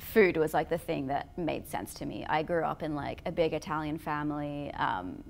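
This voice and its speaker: A woman with a very deep, low voice and vocal fry speaks at a moderate pace with ordinary pitch variation and hardly any pauses. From Australia. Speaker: vegan food company founder. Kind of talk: podcast interview. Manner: casual, many fillers.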